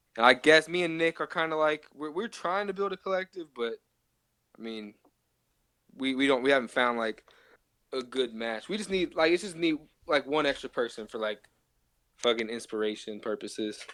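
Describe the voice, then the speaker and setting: A man with an American accent speaks in a bright, sharp tone at a fairly high pitch, with lively intonation and long, frequent pauses. The sound is dry and close, with no echo. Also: moderate pace. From Cincinnati, Ohio, US. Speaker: rapper and producer. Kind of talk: casual interview chat.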